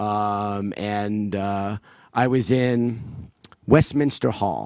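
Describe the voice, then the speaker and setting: A man with a New York accent, his fairly low voice carrying ordinary pitch variation. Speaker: event organizer giving opening remarks. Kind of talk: welcome speech.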